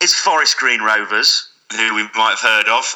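A man's plain, everyday voice, a plain, everyday voice at medium pitch, with a fairly slow pace. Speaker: podcast guest.

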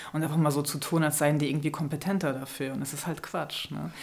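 A woman speaks very fast in a very deep, low pitch. Her intonation is fairly even, and there is audible room echo. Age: 30s. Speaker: author and filmmaker. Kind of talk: interview. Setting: studio.

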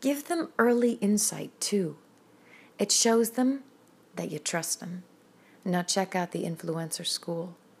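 The very clean recording has a silent background. A woman talks fairly slowly at medium pitch, her voice somewhat breathy. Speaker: poet and singer-songwriter. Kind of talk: poet spoken word, rhymed poem reading. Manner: rhythmic, measured, emphatic.

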